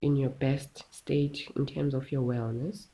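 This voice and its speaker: A woman with a dark, mellow, somewhat breathy tone speaks at a fairly slow pace. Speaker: wellness content creator. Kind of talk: casual tutorial talk.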